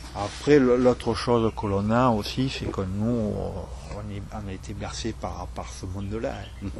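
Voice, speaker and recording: Noticeable background noise surrounds a man with a Provençal accent. He speaks at a very slow pace, with big swings in loudness. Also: hardly any pauses. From Provence. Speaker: truffle grower. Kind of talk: interview answer. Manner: casual, hesitant.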